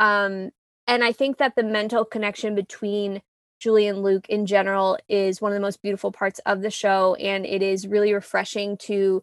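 In a very clean recording with a silent background and a dry, close sound with no echo, a woman speaks at a moderate pace at medium pitch in a plain, everyday voice. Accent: American. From US, New York City. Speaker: podcast host. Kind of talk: casual chat.

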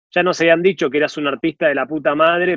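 A man with a Rioplatense accent. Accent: Argentine Spanish (rioplatense). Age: 40s. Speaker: podcast co-host. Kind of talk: interview.

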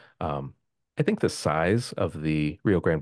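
A man speaks against a quiet background. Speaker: birding podcaster. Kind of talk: casual interview.

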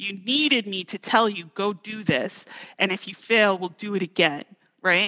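Over a quiet background, a woman at medium pitch speaks at a moderate pace with a bright, sharp tone, ordinary pitch variation and big swings in loudness. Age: 40s. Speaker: corporate compliance executive. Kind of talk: casual interview.

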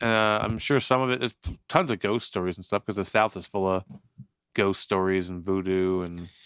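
A man's fairly low-pitched, normal speaking voice at a moderate pace, ordinary pitch variation, dry, close sound with no echo, and a very clean recording with a silent background. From northern New Jersey, partly raised in Florida. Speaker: podcast co-host. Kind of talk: casual chat. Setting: drinking beer while recording.

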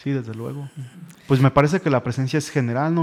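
On a very clean recording with a silent background, a man uses a plain, everyday voice at medium pitch with ordinary pitch variation. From Mexico, Irapuato, Guanajuato. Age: 30s. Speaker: historian. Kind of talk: radio interview.

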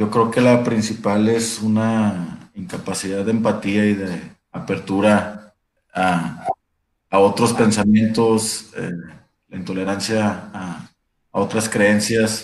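At a very slow pace, a man talks in a fairly low pitch with fairly even intonation. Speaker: labor lawyer. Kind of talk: casual discussion.

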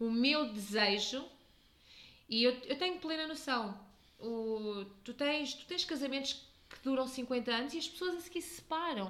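Talking at a fairly slow pace, a woman uses a high pitch, lively intonation and big swings in loudness. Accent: European Portuguese. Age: 30s. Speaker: podcast host. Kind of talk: casual chat.

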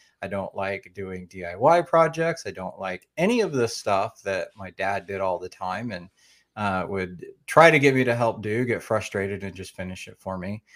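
Lively intonation in an American accent at a moderate pace, with big swings in loudness, on a very clean recording against a silent background. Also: man, fairly low pitch for a man. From Oklahoma. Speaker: woodworking podcaster. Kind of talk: casual interview. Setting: live video stream.

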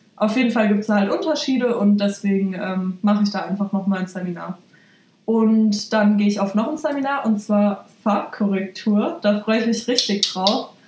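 At a moderate pace, a woman talks in a medium pitch with ordinary pitch variation. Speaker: hairdresser. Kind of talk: casual chat.

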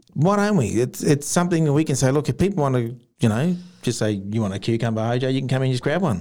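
A man with an Australian accent and a dark, mellow tone speaks very fast at medium pitch with lively intonation, on a very clean recording with a silent background. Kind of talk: casual chat.

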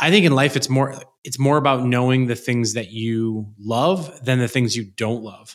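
This man has an ordinary speaking voice, medium in pitch with ordinary pitch variation, moving at a moderate pace with hardly any pauses. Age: 40s. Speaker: entrepreneur. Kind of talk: interview conversation. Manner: casual, filler-heavy.

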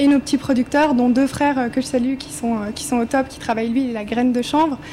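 High-pitched woman in a monotone, flat intonation against noticeable background noise. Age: 20s. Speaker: cosmetics startup founder. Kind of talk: panel discussion.

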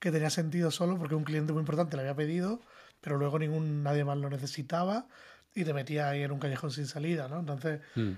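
Very fast delivery with fairly even intonation, on a very clean recording over a silent background. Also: man. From Spain. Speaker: design director. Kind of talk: casual panel discussion.

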